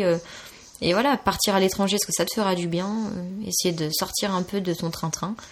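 Speaking at a moderate pace, a woman has a normal speaking voice with a medium pitch and fairly even intonation. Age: 20s. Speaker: photographer and cook, communications graduate. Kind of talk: interview.

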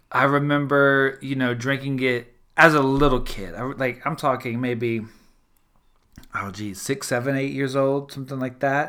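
Here a man with a Louisiana accent speaks at a fairly high pitch. His tone is animated, bright and sharp. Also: very clean recording, silent background. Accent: Southern US (Louisiana). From US South, South Louisiana. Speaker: podcast host and cartoonist. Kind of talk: casual chat.

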